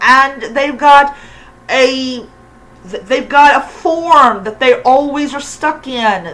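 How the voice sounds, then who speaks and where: A woman's raised, projected voice at a very slow pace. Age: 40s. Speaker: YouTuber, pagan commentator. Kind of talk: casual rant. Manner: halting, many fillers.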